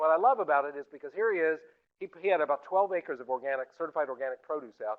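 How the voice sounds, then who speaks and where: The speaker is a man with an American accent. He talks at a very fast pace. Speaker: food systems advocate and speaker. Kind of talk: lecture.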